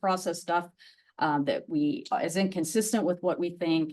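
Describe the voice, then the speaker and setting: A woman talks at a moderate pace with a fairly low pitch and ordinary pitch variation. She has an ordinary speaking voice against a quiet background. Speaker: criminology professor. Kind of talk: lecture; academic q&a.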